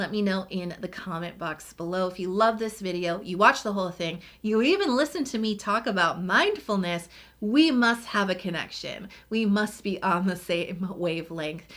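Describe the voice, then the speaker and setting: A woman with a normal speaking voice, medium pitch, ordinary pitch variation, and a moderate pace. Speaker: beauty YouTuber. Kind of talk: casual vlog talk to camera.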